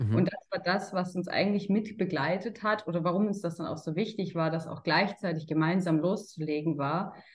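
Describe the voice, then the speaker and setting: A woman talks at a moderate pace in a normal speaking voice, pitched fairly low. Her pitch varies in an ordinary way, with hardly any pauses. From Germany, Karlsruhe. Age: 30s. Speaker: sales consultant. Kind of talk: interview.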